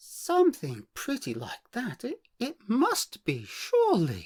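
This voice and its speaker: A put-on character voice comes at a fairly slow pace and a fairly high pitch. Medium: read story. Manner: gushing, fluttery.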